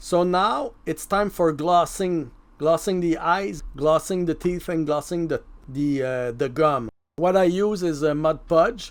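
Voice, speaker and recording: A man with a French accent, high-pitched and fairly slow. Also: ordinary pitch variation. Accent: French accent, self-described as bad. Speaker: mask maker and prop artist. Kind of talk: tutorial voice-over. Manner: casual, conversational.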